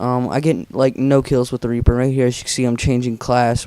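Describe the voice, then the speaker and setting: In a monotone, flat delivery, a man with a dark, mellow tone talks at a very fast pace. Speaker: gaming commentator. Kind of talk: gameplay commentary. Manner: casual, filler-heavy. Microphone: borrowed good-quality microphone.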